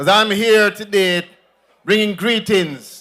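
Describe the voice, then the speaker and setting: A man with a Jamaican accent. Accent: Jamaican, with patois. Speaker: politician. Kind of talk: political rally speech. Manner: animated.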